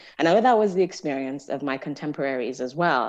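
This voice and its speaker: A woman at a very deep, low pitch, fairly quick in pace, against a quiet background. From Nigeria. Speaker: psychology professor. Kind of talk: casual interview.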